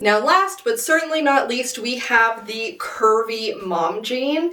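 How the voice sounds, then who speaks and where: Lively intonation from a woman's voice, with noticeable background noise behind it. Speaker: fashion reviewer. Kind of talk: casual talk to camera.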